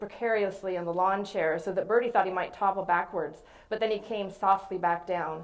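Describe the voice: A plain reading aloud of text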